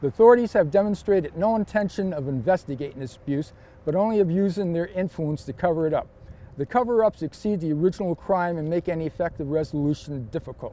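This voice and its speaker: A man talks at a very fast pace in a high pitch. His tone is dark and mellow. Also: lively intonation. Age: 60s. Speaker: citizen giving testimony on police surveillance. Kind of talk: testimony. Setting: filmed interview for a documentary. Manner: formal.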